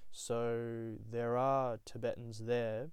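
With an Australian accent, a man speaks at a medium pitch in a dark, mellow tone. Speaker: podcaster. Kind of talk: solo monologue. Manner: halting, many fillers; casual.

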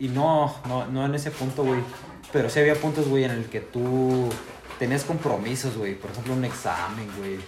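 Amid noticeable background noise and audible room echo, a man speaks at a moderate pace with ordinary pitch variation. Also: medium pitch for a man. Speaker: guest, university student. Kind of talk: casual chat.

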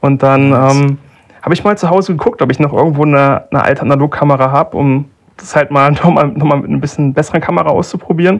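A man talks at a very fast pace. His voice sits fairly high, with ordinary pitch variation. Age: 20s. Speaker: analog photographer. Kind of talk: casual chat.

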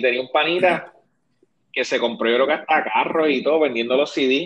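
Medium pitch, moderate pace and ordinary pitch variation from a man with an unremarkable speaking voice. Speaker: podcast host. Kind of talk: casual chat.

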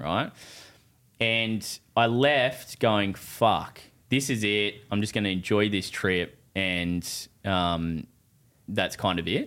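With an Australian accent, a man speaks fairly slowly in a fairly low pitch, his intonation fairly even. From Australia, New South Wales (Newcastle area). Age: 20s. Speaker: builder and property investor. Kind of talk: casual chat.

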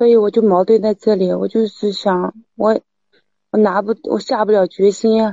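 The voice is monotone, with flat intonation. Its pace stays moderate. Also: woman, medium pitch for a woman. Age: 30s. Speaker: caller seeking advice on husband's affair. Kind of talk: call-in advice conversation.

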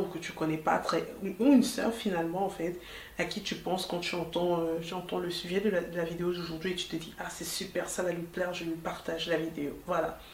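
Noticeable background noise runs under a woman's fairly low voice. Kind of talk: solo podcast episode, faith-based talk. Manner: informal, direct address to listener.

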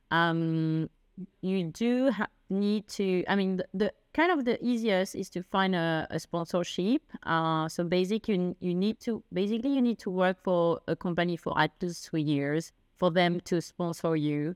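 A fairly slow delivery with a French accent and ordinary pitch variation, in a very clean, silent-background recording with a dry, close sound and no echo. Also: woman, medium pitch for a woman. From France. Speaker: expat, consultant. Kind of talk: casual interview. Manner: halting, many fillers.

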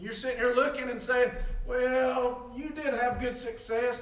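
A man's extremely high-pitched voice at a moderate pace, with ordinary pitch variation and noticeable background noise. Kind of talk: sermon. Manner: informal, conversational preaching, halting with many fillers; earnest, pleading, exhorting the congregation.

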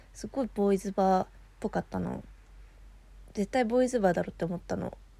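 On a very clean recording with a silent background, a woman is talking. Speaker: solo podcaster. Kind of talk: casual monologue storytelling. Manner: casual, chatty.

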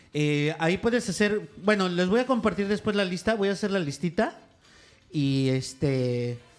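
With a Mexican accent, a man speaks at a high pitch in an animated tone, his intonation lively and his loudness very even. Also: moderate pace. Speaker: podcast co-host. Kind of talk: casual chat.

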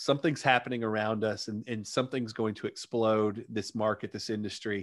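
In a Southern US accent, a man with a medium pitch talks at a moderate pace on a very clean recording with a silent background. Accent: Southern American. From US South, Arkansas. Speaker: digital marketer, former chiropractor. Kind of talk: podcast interview.

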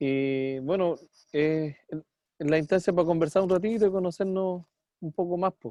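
The speaker has a Chilean accent. The pace is moderate. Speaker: podcast co-host, musician. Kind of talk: casual interview.

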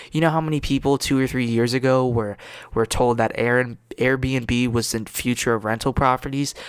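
The delivery is monotone, with flat intonation and very even loudness. The pace is moderate. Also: man, medium pitch for a man. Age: 20s. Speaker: podcast host. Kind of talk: solo podcast monologue. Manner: casual, filler-heavy.

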